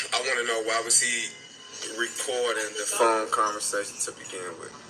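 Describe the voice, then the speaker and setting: Over music in the background, a man with a medium pitch talks at a moderate pace in a monotone, flat intonation, with big swings in loudness and audible room echo. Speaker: caller. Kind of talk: casual call-in question.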